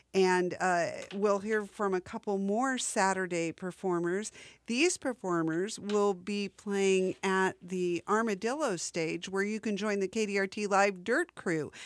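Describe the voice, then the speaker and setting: A woman with a plain, everyday voice speaks at a fairly slow pace, medium in pitch, with fairly even intonation. The sound is dry and close with no echo, on a very clean recording with a silent background. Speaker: radio host. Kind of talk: radio DJ patter between music sets, plugging festival and station. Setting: community radio studio broadcast. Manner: relaxed, chatty, conversational with filler 'uh' and 'um', playful wordplay.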